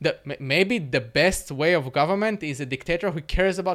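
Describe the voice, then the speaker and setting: A man talking at a very fast pace with ordinary pitch variation, on a very clean recording with a silent background. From Russia, Moscow. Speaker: social media influencer and entrepreneur. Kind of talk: interview with political debate. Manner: repeats words when thinking, somewhat halting.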